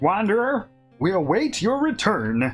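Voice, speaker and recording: A put-on character voice at a fairly high pitch swings very widely in pitch. The pace is moderate, with faint music in the background. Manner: majestic.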